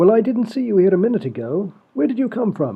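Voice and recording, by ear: High-pitched and fairly quick, a man does a put-on character voice with big pitch swings. A slightly husky edge and vocal fry run through it.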